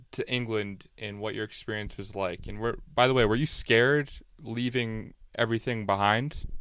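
At a moderate pace and medium pitch, a man speaks with fairly even intonation in an ordinary speaking voice. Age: 20s. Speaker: podcast host. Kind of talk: interview.

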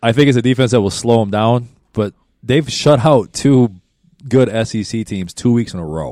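On a very clean recording with a silent background, a man with an American accent speaks at a moderate pace in a dark, mellow tone, his medium pitch showing ordinary variation. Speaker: podcast co-host. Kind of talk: casual banter.

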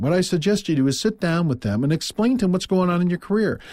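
Dark and mellow in tone, a man with an American accent is heard on a very clean recording with a silent background. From US Midwest, Quad Cities area (Iowa-Illinois). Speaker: business podcast host, sales trainer. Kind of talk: scripted business talk, monologue.

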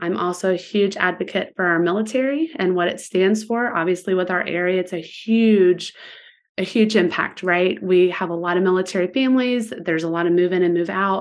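A woman with an ordinary speaking voice, medium in pitch, at a fairly quick pace with ordinary pitch variation. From Virginia Beach, Virginia. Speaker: shop owner. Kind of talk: casual chat.

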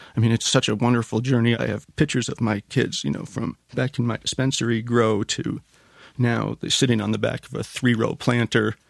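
A man speaks at a medium pitch with vocal fry. His pace is fairly quick. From Canada. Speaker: company executive. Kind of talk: interview.

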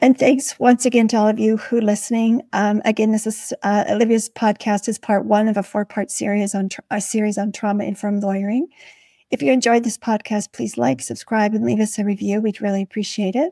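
In a very clean recording with a silent background, a woman with a dark, mellow tone speaks at a fairly high pitch and fairly quick pace, with ordinary pitch variation and a dry, close sound with no echo. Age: 60s. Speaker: podcast host, nurse and legal consultant. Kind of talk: interview chat.

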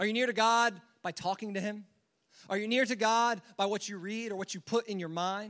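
Against a quiet background, a man with a high pitch talks at a fairly quick pace with fairly even intonation and long, frequent pauses. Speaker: student pastor. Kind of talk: sermon. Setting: church. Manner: fast talker; filler words, informal.

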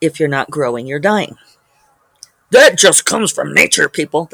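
A man puts on a raspy character voice at a fairly high pitch and a moderate pace. The sound is dry and close with no echo. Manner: pompous, preachy.

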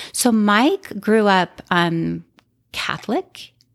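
A woman with an American accent. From Utah. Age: 40s. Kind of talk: casual interview, personal story.

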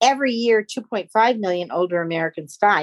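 Recorded in a dry, close sound with no echo, a woman uses an ordinary speaking voice at a fairly slow pace with ordinary pitch variation. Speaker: pollster. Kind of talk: moderated webinar discussion. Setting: video call webinar.

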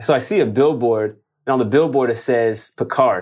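With a Los Angeles accent, a man talks at a fairly quick pace and medium pitch in fairly even intonation. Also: very clean recording, silent background. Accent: American, Los Angeles. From Los Angeles, Inglewood. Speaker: real estate wholesaler. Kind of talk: interview. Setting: studio.

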